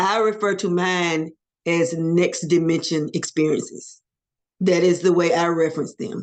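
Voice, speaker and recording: A woman speaks at a fairly slow pace and a medium pitch with monotone, flat intonation against a quiet background. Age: 60s. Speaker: near-death experiencer. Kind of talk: interview testimony.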